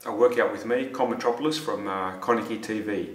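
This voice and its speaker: In a room with audible echo, a man speaks at a moderate pace with ordinary pitch variation. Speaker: fitness trainer. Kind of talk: casual fitness tutorial intro. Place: gym. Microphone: phone near.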